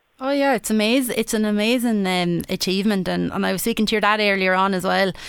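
The speaker has an Irish accent and ordinary pitch variation. The recording is very clean, with a silent background. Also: woman. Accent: Irish, Wexford. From Wexford, Ireland. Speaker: radio sports presenter. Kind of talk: radio sports show presenting.

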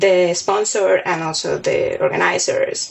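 There is noticeable background noise. A woman speaks with a Spanish accent. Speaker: competition organizer. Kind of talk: interview testimony.

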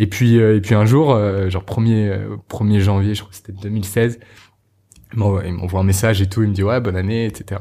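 On a very clean recording with a silent background, a man with a fairly low pitch speaks at a moderate pace in a somewhat breathy voice with a dark, mellow tone and monotone, flat intonation. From Normandy, France. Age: 20s. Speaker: entrepreneur. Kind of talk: interview. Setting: coworking space. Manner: halting, many fillers and repetitions.

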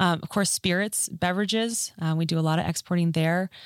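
A woman with a normal speaking voice and an American accent talks at a moderate pace and fairly low pitch, with fairly even intonation, in a dry, close sound with no echo. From Minnesota, US Upper Midwest. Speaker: state agriculture official. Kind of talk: interview.

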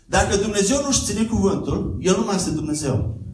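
At a moderate pace, a man talks with audible room echo and noticeable background noise. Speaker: guest preacher. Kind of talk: sermon. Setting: church.

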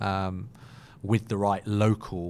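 In a British accent, a man talks with a fairly low voice. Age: 30s. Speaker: marketing agency co-founder. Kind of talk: interview conversation.

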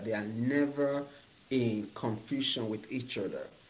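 Here a man talks at a fairly slow pace with medium pitch. His voice is somewhat breathy, with ordinary pitch variation. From Nigeria. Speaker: business coach and entrepreneur. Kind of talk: interview.

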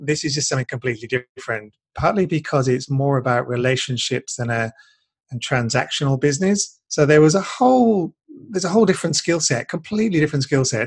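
Somewhat breathy and fairly high-pitched, a man races along at a very fast pace with lively intonation. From UK. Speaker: business coach. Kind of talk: interview.

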